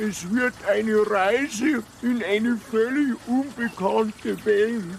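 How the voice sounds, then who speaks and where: A put-on character voice, fairly high in pitch, at a very slow pace with hardly any pauses, over clear background noise. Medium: comedy sketch.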